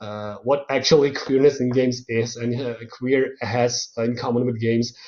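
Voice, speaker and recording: A man speaks with a non-native accent. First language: not English. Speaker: guest lecturer on games and culture. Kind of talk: online lecture. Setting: online video lecture. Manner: halting, many fillers and repetitions.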